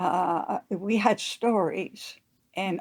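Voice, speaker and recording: A woman speaks with an Israeli accent and ordinary pitch variation. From Israel, kibbutz. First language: Hebrew. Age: 80s+. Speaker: psychologist. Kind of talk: interview. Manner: halting.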